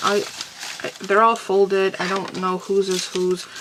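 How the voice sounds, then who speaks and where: Noticeable background noise sits behind this woman's voice. She speaks at a medium pitch and moderate pace. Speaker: crafter. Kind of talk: casual talk to camera.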